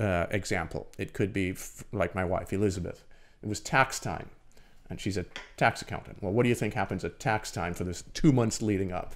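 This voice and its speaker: This man's voice sits fairly low. His pitch varies an ordinary amount. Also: fairly quick pace. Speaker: swim and triathlon coach. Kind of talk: casual chat. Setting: studio. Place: studio. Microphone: studio mic.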